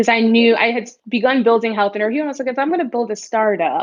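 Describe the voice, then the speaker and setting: A woman with a New York accent speaks with ordinary pitch variation. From New York (Bronx). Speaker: startup founder and CEO. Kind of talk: interview answer.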